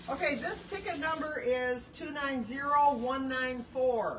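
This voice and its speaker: With noticeable background noise and audible room echo, a woman speaks in a high pitch with lively intonation. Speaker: bin store staff running a live sale. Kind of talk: livestream announcing raffle ticket winners. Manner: loud.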